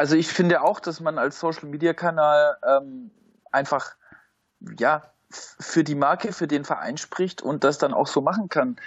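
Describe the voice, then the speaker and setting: Speaking with an unremarkable speaking voice, a man has a fairly high pitch and ordinary pitch variation. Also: fairly slow pace. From Stuttgart area, Swabia (Germany). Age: 30s. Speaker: football fan, podcast guest. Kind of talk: casual chat.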